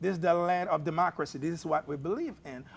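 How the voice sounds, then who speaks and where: A man with a high pitch, ordinary pitch variation and a fairly quick pace. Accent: non-native. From abroad, immigrant to the US. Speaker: therapist. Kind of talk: political talk show panel discussion.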